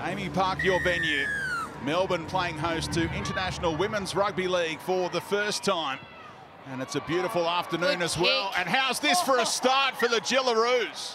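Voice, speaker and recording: Against noticeable background noise, a man with a high pitch uses a raised, projected voice at a moderate pace with lively intonation. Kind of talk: live sports commentary. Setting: stadium commentary.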